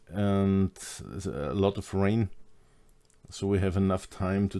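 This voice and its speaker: Very slow, with long, frequent pauses, a man in a German accent speaks in a dark, mellow tone with monotone, flat intonation. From Austria. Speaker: hypnosis trainer. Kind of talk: online course lecture.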